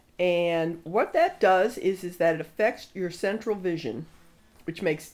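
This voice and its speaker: Delivered at a fairly slow pace, this is a normal speaking voice with ordinary pitch variation. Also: woman. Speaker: interviewer. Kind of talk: interview questions.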